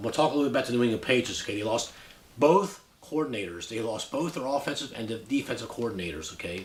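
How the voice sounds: A man talks at a fast pace with lively intonation and a medium pitch. Room echo is audible.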